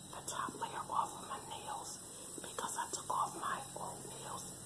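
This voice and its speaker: Soft-spoken and whispering, a woman talks at a fairly slow pace. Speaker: vlogger. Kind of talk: casual vlog chat. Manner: soft ASMR whisper, close to camera. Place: home room. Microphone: phone near.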